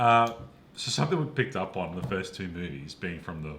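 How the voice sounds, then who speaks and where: Audible room echo surrounds a man with an Australian accent who talks at a fairly quick pace with a very deep, low pitch. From Perth, Western Australia. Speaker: podcast co-host, film reviewer. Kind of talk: casual chat.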